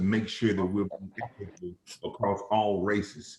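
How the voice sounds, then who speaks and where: The speaker is a man. He talks at a moderate pace. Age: 40s. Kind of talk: panel discussion. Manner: animated.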